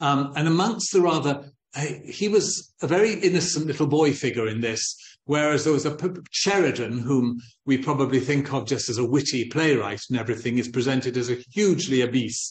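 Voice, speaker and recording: A man speaks in a somewhat breathy voice, with audible echo from the room. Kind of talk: lecture. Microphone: video call.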